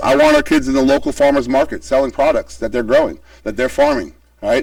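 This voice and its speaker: This man speaks at a very fast pace against noticeable background noise. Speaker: school principal. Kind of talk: presentation to a public meeting. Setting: public meeting with boards.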